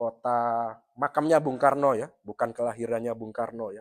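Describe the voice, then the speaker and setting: Recorded very cleanly against a silent background, a man talks at a fairly quick pace with medium pitch and fairly even intonation. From East Java, Indonesia (Blitar). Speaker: pastor. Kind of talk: sermon. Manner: conversational, frequent filler 'ya'.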